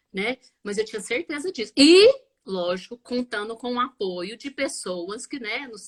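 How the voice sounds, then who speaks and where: In a normal speaking voice, a woman with a fairly high pitch talks at a fairly slow pace with lively intonation, in a dry, close sound with no echo. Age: 40s. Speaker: biomedical scientist and multiple sclerosis patient. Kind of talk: live interview testimony.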